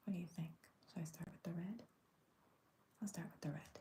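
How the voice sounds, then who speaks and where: The speaker whispers in a soft-spoken way. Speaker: coloring video creator. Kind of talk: coloring tutorial chat. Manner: whispering.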